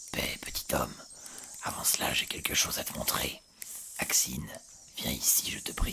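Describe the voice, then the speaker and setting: Using a put-on character voice, a man whispers at a moderate pace in a guttural, hissing tone. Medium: read story. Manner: formal, measured.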